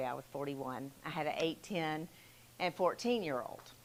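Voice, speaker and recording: In a Southern US accent, a woman speaks at a fairly low pitch. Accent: Southern twang. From US South, Selma, Alabama. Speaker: mental health counselor. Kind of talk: talk to a church group.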